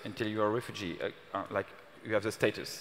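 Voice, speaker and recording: A man speaks with a French accent. His pitch sits fairly low. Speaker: city official. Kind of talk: panel discussion. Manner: halting.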